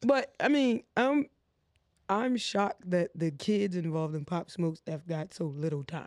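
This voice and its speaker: With an animated tone and a high pitch, a man speaks at a fairly slow pace with very wide pitch swings in a very clean recording with a silent background. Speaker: podcast co-host. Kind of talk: casual banter podcast. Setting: studio couch. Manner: animated, joking.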